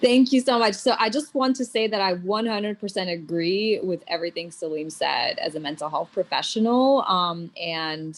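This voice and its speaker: A woman with a General American accent and an ordinary speaking voice talks at a moderate pace and medium pitch, with lively intonation and hardly any pauses. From US, moved from Soviet Union at age 5. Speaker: psychiatrist, panelist. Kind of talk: panel talk.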